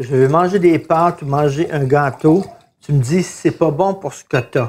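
Here is a man with an ordinary speaking voice, fairly high in pitch. He talks at a fairly slow pace with ordinary pitch variation. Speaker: podcast co-host. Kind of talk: casual chat.

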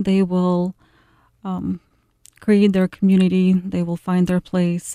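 Recorded with a dry, close sound and no echo, a woman with a Ukrainian accent speaks very slowly in a flat monotone, her dark, mellow tone set at a medium pitch. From Ukraine, Kyiv. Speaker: university administrator. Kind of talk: radio interview. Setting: studio.

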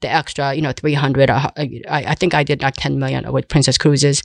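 A woman speaks at a fairly quick pace in a very deep, low, monotone voice with vocal fry. The sound is dry and close, with no echo. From South Korea. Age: 60s. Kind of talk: interview.

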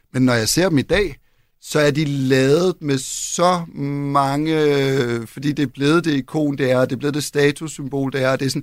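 Talking at a fairly slow pace, a man has an ordinary speaking voice, fairly high in pitch with fairly even intonation, on a very clean recording with a silent background. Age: 40s. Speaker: furniture designer. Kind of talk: interview conversation. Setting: radio studio.

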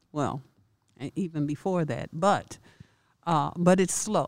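In an American accent, a woman with a fairly low pitch and ordinary pitch variation talks at a fairly slow pace in an unremarkable speaking voice. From Chicago. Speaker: theater founder and actress. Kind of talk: interview.

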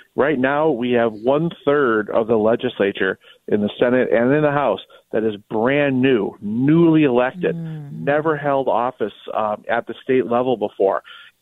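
This man has a plain, everyday voice, medium in pitch, with ordinary pitch variation and a moderate pace. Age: 50s. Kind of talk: casual interview. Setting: late-night recording.

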